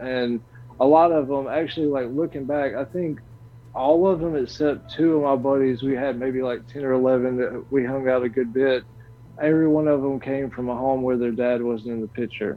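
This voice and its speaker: A man with a Southern US accent speaks at a moderate pace and medium pitch, his intonation fairly even. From US South. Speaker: stream creator and podcaster. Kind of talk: casual interview chat. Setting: online stream call.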